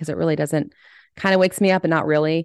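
A woman's very deep, low voice over a quiet background. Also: dry, close sound with no echo. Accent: American. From US, army family moving around. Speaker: bereaved mother and podcaster. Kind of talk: interview.

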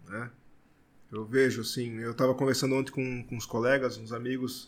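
A man with an unremarkable speaking voice at medium pitch, moderate pace and fairly even intonation. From Blumenau, Santa Catarina, southern Brazil. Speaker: brewer. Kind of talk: casual podcast interview.

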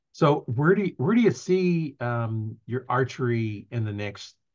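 A normal speaking voice from a man at a medium pitch, with lively intonation and a quiet background. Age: 60s. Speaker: podcast host. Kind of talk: casual interview. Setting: video recording, live on Facebook.

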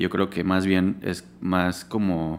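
A man with a very deep, low pitch talks on a very clean recording, and the background is silent. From Yucatán, Mexico. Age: 30s. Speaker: graphic designer. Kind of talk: casual interview chat.

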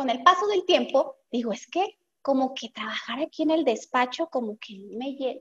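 Her voice high-pitched and her intonation lively, a woman speaks at a moderate pace with a dry, close sound and no echo. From Mexico, Guadalajara, Jalisco. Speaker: accountant and entrepreneur. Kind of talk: interview conversation.

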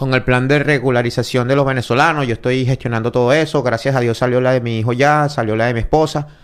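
On a very clean recording with a silent background, a man with a medium pitch and an ordinary speaking voice talks at a fairly quick pace with fairly even intonation. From Venezuela. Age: 30s. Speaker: mixed martial arts fighter. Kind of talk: casual interview.

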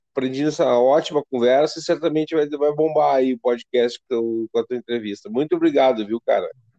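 A man with a fairly high pitch and a dark, mellow tone talks at a fairly quick pace with hardly any pauses and ordinary pitch variation, in a dry, close sound with no echo. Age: 40s. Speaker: podcast host. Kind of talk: interview.

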